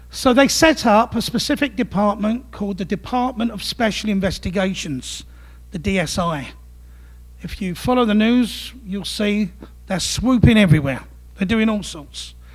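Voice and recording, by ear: The speech moves at a moderate pace in an East London accent. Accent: East End London.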